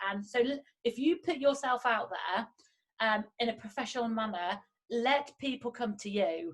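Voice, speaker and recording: A woman talks at a moderate pace in a plain, everyday voice, fairly high in pitch with ordinary pitch variation. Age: 30s. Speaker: podcast host, recruiter. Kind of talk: casual interview chat.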